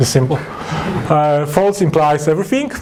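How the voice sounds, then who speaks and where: A man speaks with a Polish accent. Noticeable background noise and audible room echo are present. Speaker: software developer. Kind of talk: lecture. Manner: halting.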